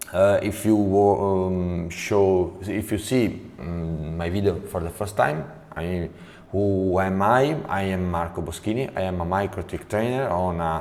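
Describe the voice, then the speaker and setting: In an Italian accent, the voice moves at a very slow pace with ordinary pitch variation, and room echo is audible. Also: man. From Italy. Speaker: network trainer. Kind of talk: tutorial. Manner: halting, many fillers.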